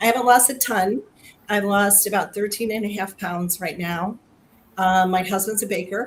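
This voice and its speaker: Her voice somewhat breathy, a woman speaks at a moderate pace with medium pitch and fairly even intonation. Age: 60s. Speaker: health program participant. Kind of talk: testimony. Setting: video livestream.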